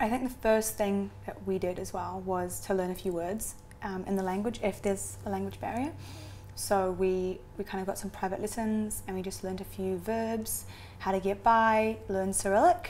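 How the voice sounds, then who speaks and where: A woman with a New Zealand accent at a moderate pace. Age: 20s. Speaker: adoptee. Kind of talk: interview.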